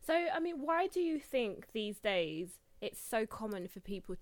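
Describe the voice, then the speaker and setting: Her pitch fairly high and swinging very widely, a woman speaks at a fairly slow pace. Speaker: podcast host. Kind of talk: casual interview chat.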